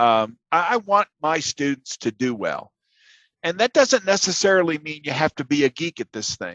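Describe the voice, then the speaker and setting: A man with a fairly high pitch speaks at a moderate pace with very wide pitch swings, the sound dry and close with no echo and the background quiet. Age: 60s. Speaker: university instructor. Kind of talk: lecture. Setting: video call. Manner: hesitant, many fillers and repetitions.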